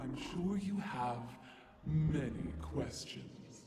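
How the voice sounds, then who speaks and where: A man uses a put-on character voice at a medium pitch with very wide pitch swings and a very slow pace. There is a slight echo and clear background noise. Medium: video game. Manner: cryptic, oracular.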